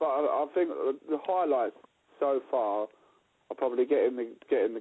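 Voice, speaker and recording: A man at a moderate pace, in an East London accent. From East London, Dagenham. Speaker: rock musician. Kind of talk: interview. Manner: halting, many repeated words.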